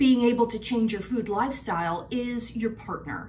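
A woman speaks at a moderate pace with ordinary pitch variation. There is light background noise. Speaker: lifestyle vlogger. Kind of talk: casual vlog chat. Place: kitchen. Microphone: phone near.

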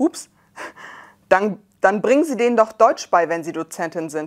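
Against a quiet background, a woman speaks at medium pitch and a moderate pace with lively intonation. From Germany. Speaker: scientist and rapper. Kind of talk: reading and reacting to social media replies. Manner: animated. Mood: calm, slightly ironic. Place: studio. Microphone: lapel.

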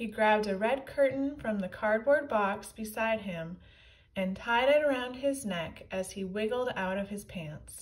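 A natural reading voice carries this recording.

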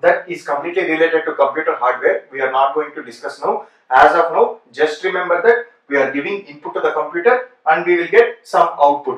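A man talks at a fairly quick pace with a high pitch. The room echo is audible, though the background stays quiet. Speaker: programming teacher. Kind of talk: lecture. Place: classroom.

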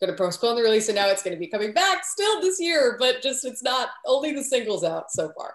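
Fairly quick speech with audible room echo against a quiet background. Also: woman, high pitch for a woman. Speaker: interview guest. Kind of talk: interview answer. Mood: cheerful, laughing. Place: home room. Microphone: video call.

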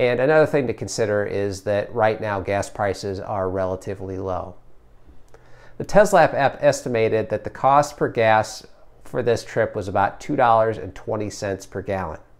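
A man speaks in an ordinary speaking voice at fairly low pitch with ordinary pitch variation. The background is quiet. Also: moderate pace. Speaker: tesla owner vlogger. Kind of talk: presentation of trip data. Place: home room. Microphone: lapel.

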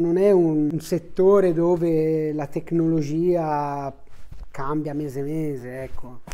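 A man speaks with a fairly high pitch. His intonation stays fairly even. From Tuscany, Italy. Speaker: family business owner, baker. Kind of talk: interview monologue. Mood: relaxed, friendly. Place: home room.

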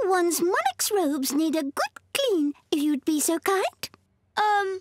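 A woman's cartoonish character voice, extremely high-pitched, with lively intonation, a fairly slow pace, very even loudness and a dry, close sound with no echo. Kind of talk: posh royal speech.

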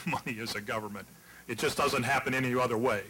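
There is noticeable background noise as a man with an American accent talks. He goes at a fairly quick pace with ordinary pitch variation. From West Virginia. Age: old. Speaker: political candidate; candidate. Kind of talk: debate. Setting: stage with audience. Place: hall. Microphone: podium.

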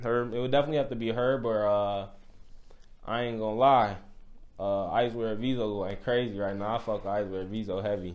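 This man's pitch sits fairly low. He speaks at a moderate pace with fairly even intonation. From Illinois, US. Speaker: rapper; interviewee. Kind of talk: casual interview. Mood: relaxed, easygoing. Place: studio.

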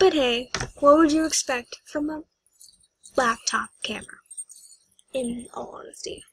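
The speech has lively intonation and a fairly slow pace, with a dry sound and no echo. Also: woman. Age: 20s. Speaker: YouTuber and retail worker; YouTuber. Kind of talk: toy review vlog. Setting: bedroom at home. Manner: animated. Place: home room. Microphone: webcam.

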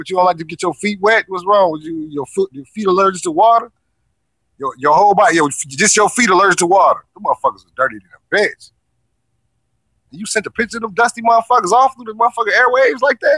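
A man talks at a very fast clip with a high pitch and a bright, sharp tone, his voice raised and projected. His intonation is lively, loudness swings widely, and the sound is dry and close with no echo. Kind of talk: online show host roasting someone. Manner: brash, profane, mocking.

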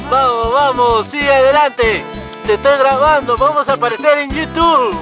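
Clear music plays in the background as the speaker goes at a moderate pace, the sound dry with no echo. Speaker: grandchild filming. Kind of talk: casual narration while filming. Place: open country. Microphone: phone near.

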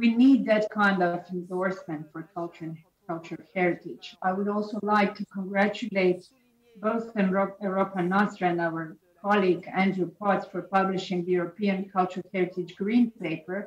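At a moderate pace, a woman with a Croatian accent speaks at a medium pitch in a monotone, flat intonation. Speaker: government minister of culture. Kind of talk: prepared speech. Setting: video call.

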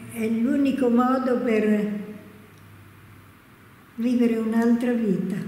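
Audible room echo surrounds a woman speaking at a very slow pace. Her pitch is fairly high. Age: 80s+. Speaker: cloistered nun. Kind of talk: interview answer.

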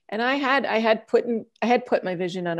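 A woman speaks with ordinary pitch variation over a quiet background. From US, Italian and Puerto Rican family. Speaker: food business owner. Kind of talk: panel discussion. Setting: video call. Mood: warm, animated storytelling. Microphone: earbuds.

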